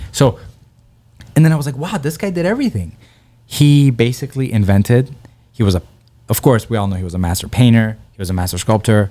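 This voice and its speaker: A man with a Persian accent, very fast delivery broken by long, frequent pauses, dark, mellow tone and lively intonation. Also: medium pitch for a man. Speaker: comedian. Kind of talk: casual chat. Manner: animated.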